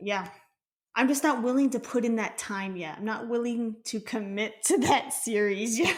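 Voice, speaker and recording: A woman with a fairly high pitch talks at a moderate pace with ordinary pitch variation. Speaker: podcast co-host. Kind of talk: casual chat.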